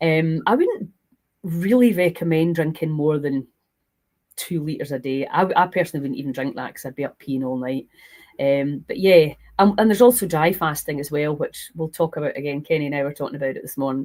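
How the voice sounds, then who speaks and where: A woman with a Scottish accent talks fairly quickly in a very deep, low pitch with a dark, mellow tone, ordinary pitch variation and big swings in loudness. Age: 60s. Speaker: health and fasting coach. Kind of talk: live stream Q&A. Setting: live stream.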